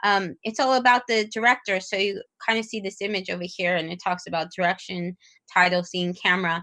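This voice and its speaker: The woman's pitch is medium, with ordinary variation. Her tone is bright and sharp, and her pace is fairly quick. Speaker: teacher trainer. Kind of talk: webinar presentation. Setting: online webinar. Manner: fast.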